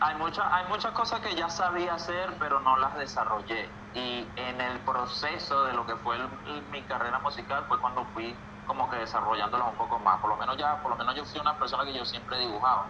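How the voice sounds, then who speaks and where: A man with a Venezuelan accent speaks at a fairly quick pace in a fairly high pitch. His lively intonation comes through noticeable background noise. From Venezuela, Valles del Tuy (Miranda). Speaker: singer and music producer. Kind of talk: interview.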